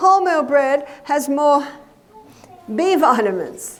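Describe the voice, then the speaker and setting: Very slow speech from a woman with an Australian accent, plus audible room echo and noticeable background noise. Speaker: nutritionist and health educator. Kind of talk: lecture.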